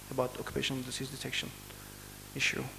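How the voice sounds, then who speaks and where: Amid noticeable background noise and audible room echo, a man speaks with a Turkish accent. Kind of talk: conference presentation. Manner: halting; formal.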